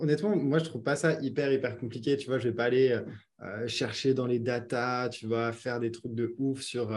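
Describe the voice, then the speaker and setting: A man speaks in a plain, everyday voice at medium pitch, with fairly even intonation and a moderate pace. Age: 20s. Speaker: online business founder. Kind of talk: casual interview.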